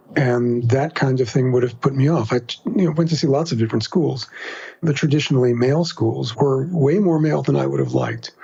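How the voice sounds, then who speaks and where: At a fairly quick pace, a man with an American accent speaks in a medium-pitched, somewhat breathy voice with ordinary pitch variation and very even loudness. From New York City, Queens. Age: 60s. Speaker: writer and podcaster. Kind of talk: interview.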